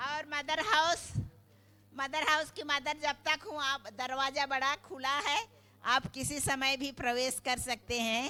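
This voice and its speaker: A woman speaks in a high, raised and projected voice, her pitch moving with ordinary variation. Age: 70s. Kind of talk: thank-you speech.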